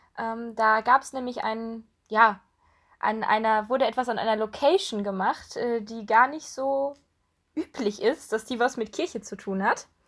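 Recorded very cleanly against a silent background, a woman talks at a fairly slow pace in an ordinary speaking voice with ordinary pitch variation. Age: 20s. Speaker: podcast co-host, student. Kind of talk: casual chat.

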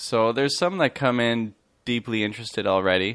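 A man speaks at a moderate pace with a Canadian accent. His pitch is fairly low, and it is a plain, everyday voice. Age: 30s. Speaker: high school teacher. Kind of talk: casual chat.

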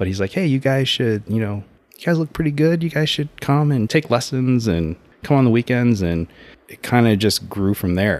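A man with an unremarkable speaking voice talks at a moderate pace and medium pitch. His intonation is lively, with big swings in loudness. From Texas, San Antonio (military brat, moved around). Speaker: gym coach and tech worker. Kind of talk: casual interview.

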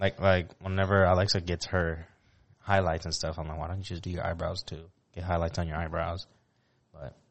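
A man's very deep, low voice, flat and monotone, at a fairly quick pace broken by long, frequent pauses. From Puerto Rico. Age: 20s. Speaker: podcast co-host. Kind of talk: casual chat.

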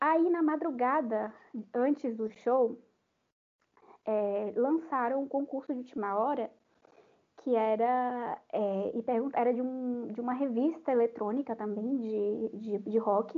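Pausing often and at length, a woman speaks at a very slow pace with a high pitch and ordinary pitch variation. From Brazil, Salvador (Bahia). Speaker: podcast guest, music fan. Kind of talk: casual chat. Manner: animated.

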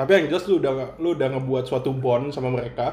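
A man at medium pitch, with ordinary pitch variation. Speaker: podcast co-host. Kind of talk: casual chat.

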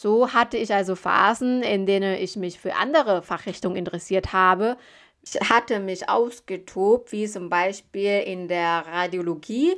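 A woman with a Thai accent speaks at a fairly slow pace and a medium pitch, with ordinary pitch variation, over a quiet background. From Thailand. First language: Thai (speaking German). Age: 30s. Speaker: medical assistant and recruitment founder. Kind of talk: podcast monologue.

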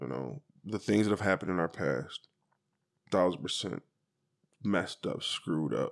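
A man with a very deep, low voice and vocal fry uses lively intonation, broken by long, frequent pauses. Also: moderate pace, dry, close sound with no echo. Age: 40s. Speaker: podcast co-host. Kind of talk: casual chat.

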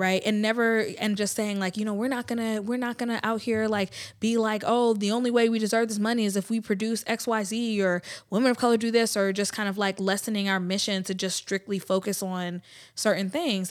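Speaking with an American accent in a plain, everyday voice, this talker keeps a fairly quick pace and fairly even intonation on a very clean recording with a silent background. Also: woman. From US South. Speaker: business owner and community leader. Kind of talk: casual interview chat.

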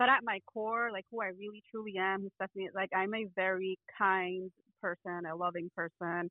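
A woman with an American accent speaks at a moderate pace with fairly even intonation. Hers is an ordinary speaking voice. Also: medium pitch for a woman. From New York (Bronx), later North Carolina. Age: 30s. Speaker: project manager. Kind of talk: interview.

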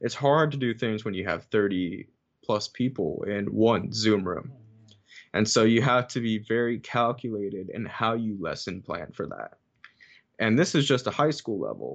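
A man's normal speaking voice at medium pitch, fairly slow, with ordinary pitch variation and a quiet background. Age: 20s. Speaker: music educator and saxophonist. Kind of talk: casual chat.

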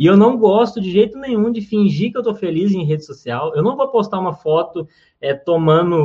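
A man talks at a moderate pace. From Minas Gerais, Brazil (Uberaba). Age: 20s. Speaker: comedian and comedy writer. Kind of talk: interview.

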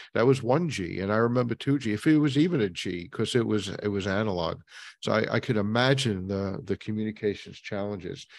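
With an American accent, a man speaks in a plain, everyday voice at a fairly low pitch and a fairly quick pace, with ordinary pitch variation on a very clean recording over a silent background. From New York. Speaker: podcast host. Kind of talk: interview; scripted outro.

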